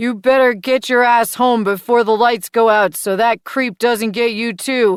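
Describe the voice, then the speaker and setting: A put-on character voice sits at a fairly high pitch, with fairly even intonation, at a moderate pace with hardly any pauses. The sound is dry and close, with no echo. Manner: stern, scolding.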